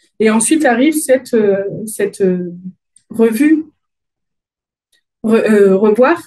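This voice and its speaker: A Dauphiné accent carries this voice. Its tone is dark and mellow. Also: woman. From France, Dauphiné region. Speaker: agile conference speaker. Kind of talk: conference talk. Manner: hesitant, many fillers.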